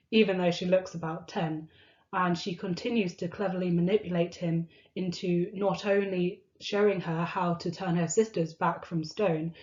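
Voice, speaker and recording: Somewhat breathy and fairly low in pitch, a woman talks at a moderate pace in a monotone, flat intonation. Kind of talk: casual talk to camera.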